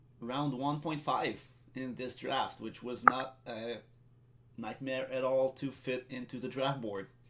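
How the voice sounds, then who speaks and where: A man with a French accent and a medium pitch, at a very slow pace with long, frequent pauses, monotone, flat intonation, and noticeable background noise. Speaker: draft co-host, league department head. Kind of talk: live draft broadcast.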